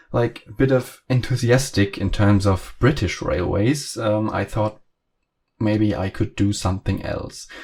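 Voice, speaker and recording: A man speaks with a German accent in a fairly low, somewhat breathy voice. His intonation stays fairly even. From Germany. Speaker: train simulator content creator. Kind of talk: casual video commentary. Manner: halting, many fillers.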